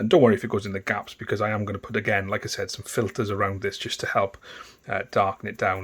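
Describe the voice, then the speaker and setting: A man speaks with a strong Welsh accent. The recording is very clean, with a silent background. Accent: thick Welsh. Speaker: miniature painting tutor. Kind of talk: tutorial. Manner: casual, hesitant with ums.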